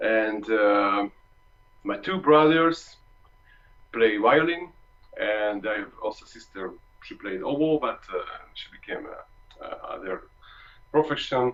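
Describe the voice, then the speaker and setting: Music plays behind a speaker with a Hungarian accent. The pace is very slow, and the intonation is lively. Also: man. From Hungary. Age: 30s. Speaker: trombonist. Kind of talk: masterclass talk. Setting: video call. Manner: halting.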